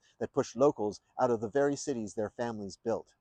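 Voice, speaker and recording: A man speaks fairly quickly with an American accent, using ordinary pitch variation. He has a plain, everyday voice, and the sound is dry and close with no echo. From New York State. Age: 60s. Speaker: presidential candidate. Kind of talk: campaign speech. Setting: outdoors.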